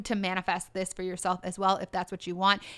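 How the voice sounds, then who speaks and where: On a very clean recording with a silent background, a voice with a Canadian accent carries a bright, sharp tone. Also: woman. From Ontario, Canada (Durham region). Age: 30s. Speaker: podcast host, online business coach. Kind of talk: solo podcast monologue. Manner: casual, frequent laughter.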